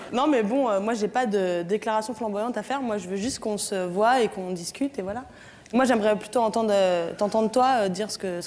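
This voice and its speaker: Speaking at a fairly quick pace, a woman with a fairly high pitch shows ordinary pitch variation. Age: 20s. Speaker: theatre student; talk show guest. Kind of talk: TV show testimony. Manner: hesitant. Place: studio. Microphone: lapel.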